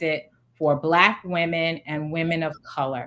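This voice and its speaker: In a normal speaking voice, a woman talks at a fairly slow pace, her pitch fairly low. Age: 40s. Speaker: founder and CEO. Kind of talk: interview answer.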